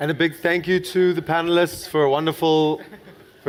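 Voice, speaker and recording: A man with a South African accent at a fairly quick pace, with noticeable background noise. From South Africa, Cape Town. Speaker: conference moderator. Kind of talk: stage announcement.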